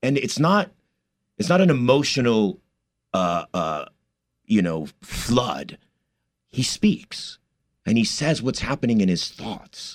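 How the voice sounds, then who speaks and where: The speaker has an American accent and a very slow pace, leaving long, frequent pauses. The pitch swings very widely. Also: man, medium pitch for a man. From US, East Los Angeles area. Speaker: stage actor. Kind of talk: interview.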